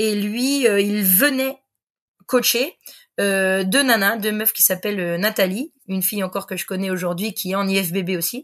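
Ordinary pitch variation at a fairly slow pace, against a quiet background. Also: woman. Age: 40s. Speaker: sports coach. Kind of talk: casual chat. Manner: animated. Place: home room.

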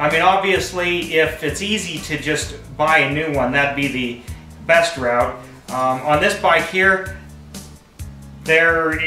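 A man speaks very slowly, with long, frequent pauses and ordinary pitch variation. Faint music plays in the background, and room echo is audible. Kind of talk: tutorial. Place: garage. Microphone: camera far.

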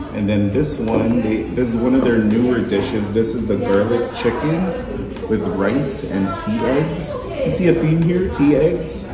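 A man speaks at a very slow pace amid noticeable background noise and audible room echo. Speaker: food vlogger host. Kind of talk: casual vlog chat. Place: cafe. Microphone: phone near.

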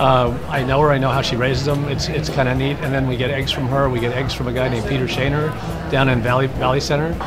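With clear music playing behind him, a man speaks at a fairly quick pace. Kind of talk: interview answer. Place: cafe. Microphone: lapel.

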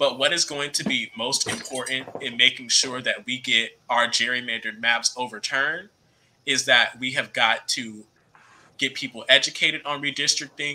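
This voice has a bright, sharp tone and an American accent. The intonation is fairly even, at a moderate pace. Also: man, medium pitch for a man. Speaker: young party official. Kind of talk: panel discussion.

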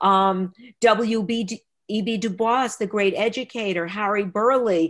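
Against a quiet background, a woman with an American accent speaks at a very slow pace and a fairly high pitch. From Texas. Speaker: children's book author. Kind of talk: author talk. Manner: animated. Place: home room. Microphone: webcam.

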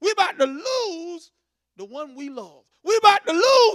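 Against a quiet background, a man speaks in an animated tone. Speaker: preacher. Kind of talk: sermon, Bible study teaching with call-and-response "amen". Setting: church. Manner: animated, repetitive, preacherly cadence with frequent "amen". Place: church. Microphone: handheld.

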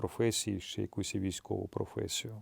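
A man's dark, mellow tone at a moderate pace, dry and close with no echo, in a very clean recording against a silent background. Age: 40s. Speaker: actor and soldier. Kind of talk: interview testimony.

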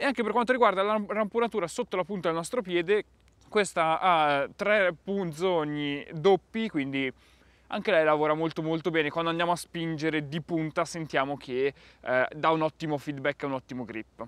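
The sound is dry with no echo as a man speaks at a high pitch. He keeps a moderate pace and ordinary pitch variation. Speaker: gear reviewer. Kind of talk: product review talk. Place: garden.

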